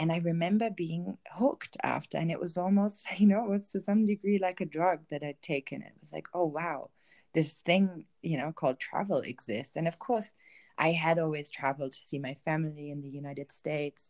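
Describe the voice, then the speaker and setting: A woman with a German accent speaks with ordinary pitch variation and big swings in loudness, in dry, close sound with no echo. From Germany, Bielefeld (northwest). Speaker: travel writer and self-love coach. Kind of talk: interview. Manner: hesitant, many filler ums.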